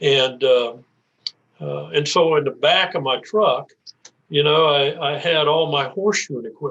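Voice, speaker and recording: A man with an American accent speaks at a fairly slow pace and a fairly high pitch, showing vocal fry and ordinary pitch variation. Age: 80s+. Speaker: retired banker. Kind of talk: interview. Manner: halting.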